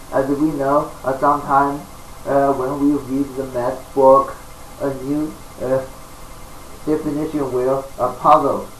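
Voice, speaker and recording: Amid noticeable background noise and audible room echo, a man with a fairly high pitch speaks at a fairly slow pace in a monotone, flat intonation, with long, frequent pauses. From China. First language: Chinese. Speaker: self-taught mathematician, video lecturer. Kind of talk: lecture. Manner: halting, many fillers.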